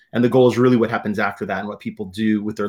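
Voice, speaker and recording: A man in an American accent, medium in pitch, with fairly even intonation. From Southern California. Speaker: community college administrator and speaker. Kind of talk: interview. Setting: video call.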